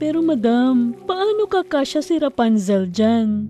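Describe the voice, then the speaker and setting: A female-sounding cartoonish character voice, high-pitched with very wide pitch swings, goes at a fairly slow pace. Background noise is clearly present. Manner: deferential, addresses master as madam.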